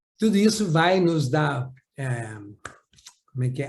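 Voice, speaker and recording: A somewhat breathy man's voice at a fairly slow pace. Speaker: psychomotor therapy trainer. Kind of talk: lecture. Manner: clear and easy to follow.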